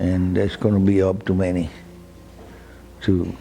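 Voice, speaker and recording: A man with a very deep, low pitch and a dark, mellow tone speaks at a moderate pace, somewhat breathy. His intonation is fairly even, and audible room echo surrounds him. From Cuba. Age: 80s+. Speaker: cigar shop owner. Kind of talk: documentary interview. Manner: halting, repeats words.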